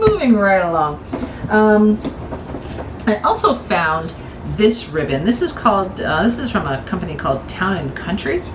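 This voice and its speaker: A woman speaks at a moderate pace with very wide pitch swings and long, frequent pauses, with audible room echo and noticeable background noise. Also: medium pitch for a woman. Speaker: crafting vlogger. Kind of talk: casual haul video chat. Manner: hesitant, repeats words; chatty, informal.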